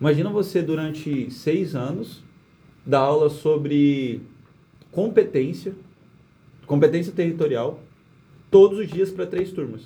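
The delivery is fairly slow, with long, frequent pauses and ordinary pitch variation. The tone is dark and mellow. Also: man. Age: 20s. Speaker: lawyer. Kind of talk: casual interview chat. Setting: studio.

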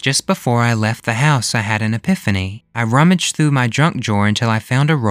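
The clip features a natural reading voice. The text is read in that voice from start to finish.

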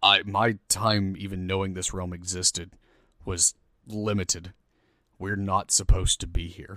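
A man speaks in a put-on character voice that is raspy and very deep, pitched low. He keeps a moderate pace with long, frequent pauses. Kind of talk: game master voicing a villain. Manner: menacing, resentful, commanding.

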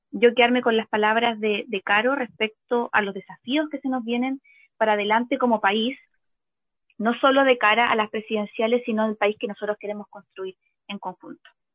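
Fairly high in pitch, this woman speaks in a plain, everyday voice. Her intonation is fairly even and her pace moderate. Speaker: podcast co-host. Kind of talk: casual chat.

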